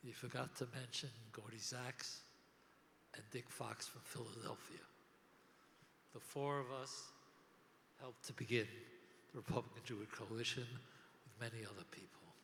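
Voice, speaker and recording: The speaker keeps a fairly even intonation at a moderate pace, with long, frequent pauses. Loudness swings widely, and room echo is audible. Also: man, medium pitch for a man. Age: 80s+. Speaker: organization founder. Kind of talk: conference speech. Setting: stage with audience.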